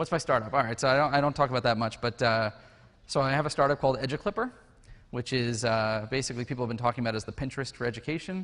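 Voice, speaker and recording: Against a quiet background, a man talks at a very fast pace. His voice sits at medium pitch with ordinary pitch variation. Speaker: conference speaker; educational technologist. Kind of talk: conference talk; casual chat. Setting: stage with audience.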